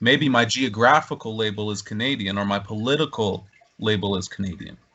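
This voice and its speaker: A man talks in an unremarkable speaking voice at a fairly low pitch. His pace is fairly quick, with ordinary pitch variation. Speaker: podcast host. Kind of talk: casual podcast conversation.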